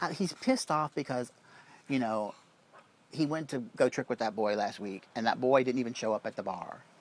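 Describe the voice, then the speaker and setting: This is a normal speaking voice moving at a moderate pace. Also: man, medium pitch for a man, lively intonation. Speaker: vlogger confronting former housemate. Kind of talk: casual chat.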